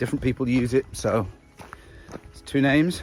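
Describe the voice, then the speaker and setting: A man with an English accent speaks in a relaxed tone at a medium pitch. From England. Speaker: long-distance hiker vlogger. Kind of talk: casual video diary. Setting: outdoors on a hiking trail. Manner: relaxed, with frequent filler words.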